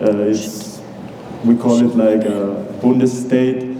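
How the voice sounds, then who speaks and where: Amid noticeable background noise and audible room echo, a man with a German accent speaks at a medium pitch in a flat monotone. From western Austria. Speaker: international student. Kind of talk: informal presentation.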